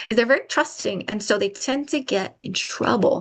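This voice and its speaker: At a moderate pace, a woman speaks in a plain, everyday voice with lively intonation. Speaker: public health trainer. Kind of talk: webinar presentation.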